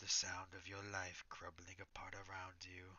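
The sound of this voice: The voice is an unforced reading voice.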